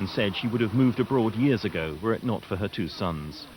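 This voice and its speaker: With lively intonation and a fairly quick pace, a man at medium pitch talks in a plain, everyday voice. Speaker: TV news reporter. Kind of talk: TV news report narration.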